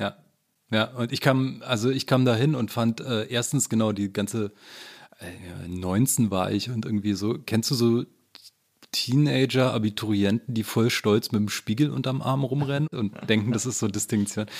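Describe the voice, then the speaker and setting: A plain, everyday voice moves at a moderate pace with ordinary pitch variation. The recording is very clean, the background silent. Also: man, medium pitch for a man. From eastern Germany, Frankfurt (Oder). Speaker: journalist and author. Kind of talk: casual interview conversation.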